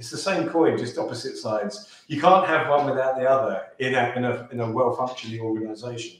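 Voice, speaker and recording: With a British accent, a man at medium pitch talks at a fairly quick pace with ordinary pitch variation, and the room echo is audible. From UK. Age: 40s. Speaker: sales and pitching coach; podcast guest, sales coach. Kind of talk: podcast interview. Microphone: video call.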